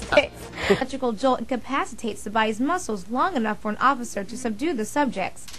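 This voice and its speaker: Over noticeable background noise, a woman speaks very fast in a high voice with lively intonation. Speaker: television news anchor and reporter. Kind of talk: scripted news anchor read.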